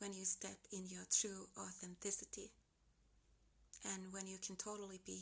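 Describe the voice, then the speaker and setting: Somewhat breathy, a woman speaks in a Finnish accent at a medium pitch and moderate pace. Her intonation is monotone and flat. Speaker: lifestyle vlogger. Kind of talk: unedited motivational vlog talk. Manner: casual, unscripted.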